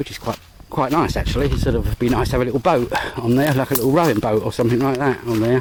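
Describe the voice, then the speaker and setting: Talking at a very fast pace, a man with an English accent keeps a fairly even intonation. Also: medium pitch for a man. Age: 60s. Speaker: vlogger. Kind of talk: casual vlog narration. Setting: outdoors. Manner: rambling, hesitant.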